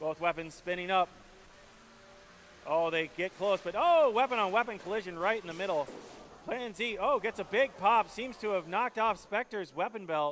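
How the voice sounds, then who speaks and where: A man speaks at a high pitch with ordinary pitch variation. His pace is moderate. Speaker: robot combat commentator. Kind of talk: live commentary. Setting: indoor event arena, livestream. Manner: animated.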